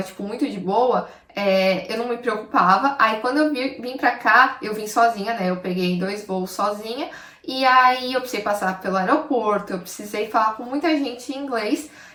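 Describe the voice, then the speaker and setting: Over noticeable background noise, a woman talks at a moderate pace in a fairly high pitch with ordinary pitch variation. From Brazil, São Paulo. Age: 20s. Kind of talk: casual talk to camera.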